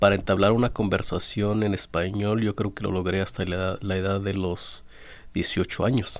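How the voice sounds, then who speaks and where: Spoken with an Oaxacan accent, the intonation stays fairly even. The recording is very clean, with a silent background. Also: man. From Oaxaca, Mexico (Zapotec village, Valles del Sur). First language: Zapotec (speaking Spanish). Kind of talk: radio interview. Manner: halting, many fillers.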